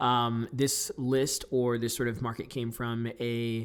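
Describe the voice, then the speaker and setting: A man speaks on a very clean recording. The background is silent. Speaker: real estate investor. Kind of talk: tutorial. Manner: fast; loud.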